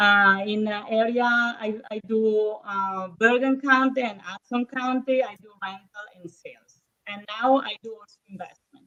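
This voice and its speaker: With an Italian accent, a woman speaks at a fairly slow pace with hardly any pauses, fairly even intonation and big swings in loudness. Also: fairly high pitch for a woman. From northern Italy, Verona. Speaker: real estate agent. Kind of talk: casual interview. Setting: live stream. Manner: hesitant, many fillers.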